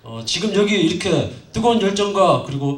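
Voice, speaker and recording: The man's voice has ordinary pitch variation, with audible room echo and noticeable background noise. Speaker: student council president. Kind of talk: welcome speech. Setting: stage with audience. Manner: halting.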